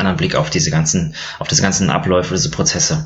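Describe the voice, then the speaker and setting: Racing at a very fast pace, a man talks with very wide pitch swings. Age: 30s. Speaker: physician and board game blogger. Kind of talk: casual chat.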